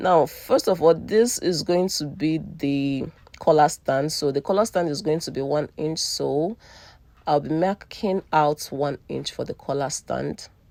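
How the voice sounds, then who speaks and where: Fairly slow and very deep and low in pitch, a woman with a non-native accent speaks in a dark, mellow tone with ordinary pitch variation. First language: not English. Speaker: sewing tutor / fashion designer. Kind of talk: tutorial.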